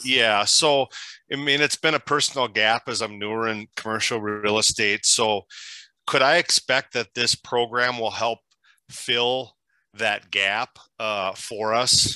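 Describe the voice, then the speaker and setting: With a Minnesotan accent, the voice has a bright, sharp tone and fairly even intonation, moving at a fairly slow pace in a dry, close sound with no echo over a quiet background. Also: man, medium pitch for a man. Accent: Minnesota. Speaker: commercial real estate agent. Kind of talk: question on a group call.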